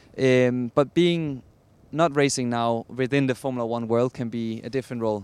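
With a Danish accent, a man of medium pitch speaks at a fairly quick pace with fairly even intonation. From Denmark. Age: 20s. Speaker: racing driver. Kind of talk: interview.

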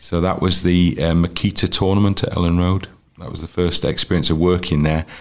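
A man with a North Welsh accent speaks in a very deep, low voice. His delivery is fairly quick and monotone, with flat intonation. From North Wales, Wrexham. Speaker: football commentator and broadcaster. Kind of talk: interview. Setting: at his home.

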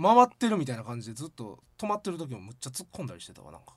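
With a Kansai accent, a man talks at a very fast pace in a bright, sharp tone. His pitch swings very widely. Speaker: podcast co-host. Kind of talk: casual chat.

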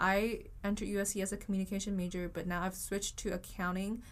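A woman speaks with a Vietnamese accent at a fairly quick pace. Her pitch sits in the middle range. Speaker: university student. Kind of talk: casual chat.

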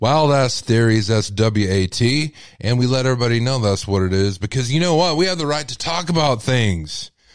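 A man with a Texas accent talks at a fairly quick pace in an animated tone, with lively intonation and hardly any pauses. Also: medium pitch for a man. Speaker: radio host. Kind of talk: live call-in radio show.

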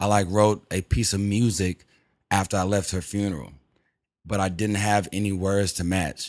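A speaker with an American accent talks at a moderate pace. The intonation is monotone and flat. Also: man, fairly low pitch for a man. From Texas, Houston. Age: 20s. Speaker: rapper. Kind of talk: casual chat.

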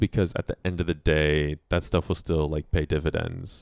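Dry and close with no echo, a man speaks with an American accent in a very deep, low voice. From Colorado. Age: 30s. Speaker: improv comedian. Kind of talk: casual chat.

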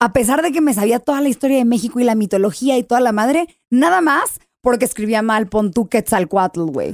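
At a high pitch, a woman speaks at a fairly quick pace with lively intonation and very even loudness, the sound dry and close with no echo. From US, San Diego. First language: English (speaking Spanish). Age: 20s. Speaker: TV host and actress. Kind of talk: casual chat.

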